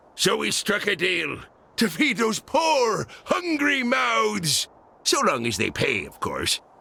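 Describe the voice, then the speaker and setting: A man puts on a gruff character voice. He pitches it high. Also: fairly slow pace. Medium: video game. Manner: gruff, pirate-flavored speech.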